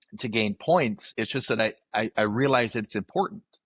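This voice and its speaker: Fairly quick talk from a man with an unremarkable speaking voice and fairly low pitch, a dry, close sound with no echo, and a quiet background. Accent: American. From northern Michigan. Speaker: livestock auctioneer. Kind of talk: interview answer.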